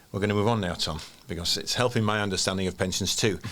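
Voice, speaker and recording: In a Yorkshire accent, a man talks very fast. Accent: broad Yorkshire. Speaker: podcast host. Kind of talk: casual podcast chat.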